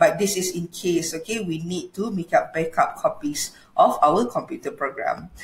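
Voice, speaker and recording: With a Malaysian accent, a woman talks at a moderate pace with hardly any pauses, and audible room echo surrounds her voice. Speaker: law lecturer. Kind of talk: lecture. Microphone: webcam.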